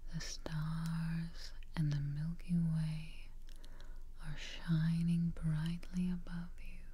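With light noise behind her, a woman speaks at a very slow pace. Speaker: relaxation guide. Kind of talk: guided meditation, soft-spoken.

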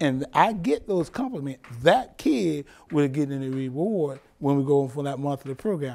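A man at a moderate pace, dark and mellow in tone, with lively intonation. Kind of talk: interview answer. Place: office.

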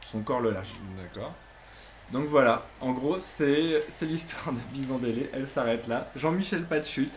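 A man speaks with a strong French accent at a fairly slow pace, with ordinary pitch variation. Light background noise can be heard. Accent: thick French accent in English. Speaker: YouTuber and basketball fan; gaming channel host. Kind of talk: casual chat. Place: home room.

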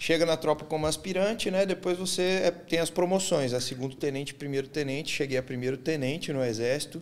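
A man speaks at a fairly quick pace with hardly any pauses. His pitch is fairly high and varies in an ordinary way. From Minas Gerais, Belo Horizonte. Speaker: former army officer and bodybuilder. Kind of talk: interview. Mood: calm, reflective. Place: studio. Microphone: studio mic.

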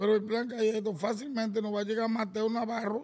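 The man who speaks has a high-pitched voice. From Dominican Republic. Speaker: baseball executive and former player; podcast guest. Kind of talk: casual chat. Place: studio. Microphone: studio mic.

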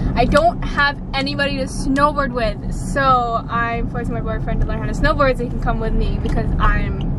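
Loud background noise behind a female voice, dry and echo-free. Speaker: vlogger. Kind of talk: casual vlog chat. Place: car. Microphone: phone near.

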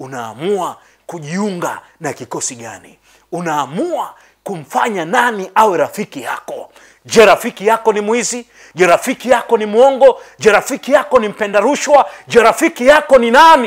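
With a quiet background behind him, a man speaks at a moderate tempo. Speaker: preacher. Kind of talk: sermon. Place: church.

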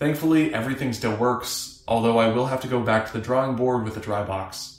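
A man's fairly quick, fairly evenly intoned speech with audible room echo. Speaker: maker vlogger. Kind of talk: tutorial narration.

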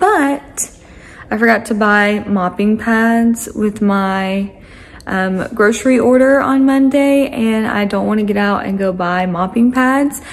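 Room echo is audible throughout. Pitch varies in an ordinary way. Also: woman.

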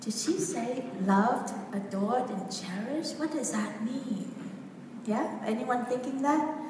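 A woman's high-pitched voice with ordinary pitch variation, audible room echo and noticeable background noise. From Vietnam. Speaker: women's coach. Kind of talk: workshop talk. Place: hall. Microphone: camera far.

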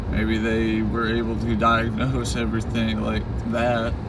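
Loud background noise surrounds a dry, echo-free voice moving at a fairly slow pace. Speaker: driver vlogger. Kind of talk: casual vlog chat. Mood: reflective, grateful. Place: car. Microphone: phone near.

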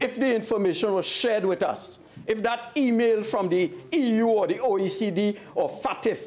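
A man speaks at a high pitch with lively intonation. His pace is fairly slow. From Trinidad and Tobago. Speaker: opposition member of parliament. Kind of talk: parliamentary debate speech. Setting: parliament chamber. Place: hall.

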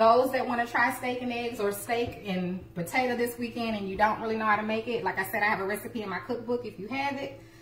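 A woman at a very fast pace with fairly even intonation, amid light background noise and audible room echo. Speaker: home cooking livestream host. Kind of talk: casual cooking livestream chat. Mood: cheerful, laughing. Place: kitchen. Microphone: phone near.

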